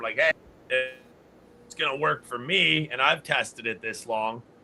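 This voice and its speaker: Fairly even intonation with a Canadian accent over noticeable background noise. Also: man. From Canada. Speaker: grow system company founder and podcast host. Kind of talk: casual chat.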